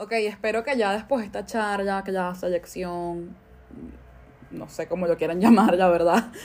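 A woman speaks in a Caracas accent at a medium pitch. Her pace is moderate, and her pitch varies in an ordinary way. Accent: Venezuelan Spanish (Caracas). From Venezuela, Caracas. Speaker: cook and podcaster. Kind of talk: casual monologue.

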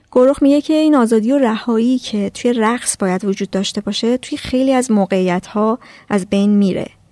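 At a very fast pace, a woman speaks with a fairly high pitch, ordinary pitch variation, and a dark, mellow tone in a dry, close sound with no echo. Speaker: podcast host. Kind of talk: scripted narration.

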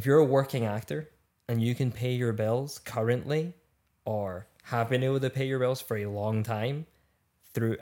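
A man talks with a Scottish accent. His pace is moderate and his pitch variation ordinary. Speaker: actor. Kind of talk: casual chat.

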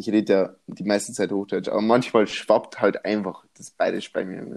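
A man speaks at a moderate pace in a fairly low pitch. His intonation is monotone and flat. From Bavaria. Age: 20s. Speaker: podcast co-host. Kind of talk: casual chat.

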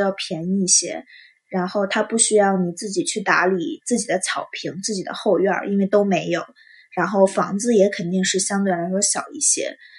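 A woman's somewhat breathy, medium-pitched voice with ordinary pitch variation. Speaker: student podcaster. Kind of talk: casual monologue.

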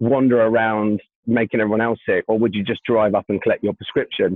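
Here is a man with a British accent. He talks at a fairly quick pace. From UK. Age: 30s. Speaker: staffing tech business leader. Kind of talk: casual interview chat.

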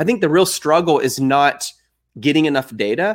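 A man with a normal speaking voice and an American accent talks at a fairly quick pace, his fairly high pitch carried by lively intonation. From Texas. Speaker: e-commerce entrepreneur and trainer. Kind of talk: interview.

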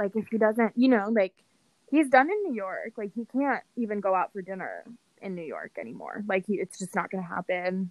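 An ordinary speaking voice with an American accent moves at a moderate pace, with ordinary pitch variation and big swings in loudness, in a dry, close sound with no echo. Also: woman, medium pitch for a woman. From San Francisco, California. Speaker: podcast co-host. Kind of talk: casual chat.

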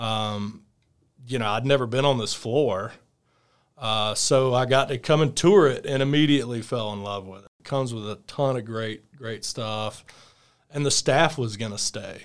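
The recording is very clean and the background silent. A man speaks with a Southern accent at a medium pitch. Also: ordinary pitch variation, moderate pace, big swings in loudness. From US South, Alabama (Fairhope near Mobile). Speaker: coworking space owner. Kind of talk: casual interview.

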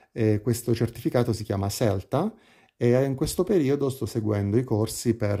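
A man's dark, mellow, somewhat breathy voice moves at a fairly slow pace with ordinary pitch variation. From Italy, Pescara (Abruzzo). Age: 30s. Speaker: hotel receptionist. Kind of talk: casual interview. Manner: hesitant, with fillers and repetitions.

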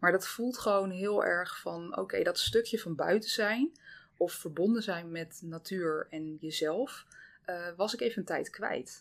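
In a very clean recording with a silent background, a woman with an unremarkable speaking voice talks at a fairly slow pace, medium in pitch with ordinary pitch variation. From Zeeland, Netherlands. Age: 30s. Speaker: dietitian. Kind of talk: casual interview.

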